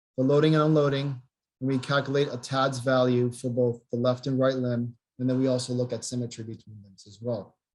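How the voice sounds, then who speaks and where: A man's somewhat breathy, medium-pitched voice, monotone and flat, at a fairly quick pace with big swings in loudness. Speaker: physical therapy researcher. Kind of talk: webinar lecture. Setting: video call. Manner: fast.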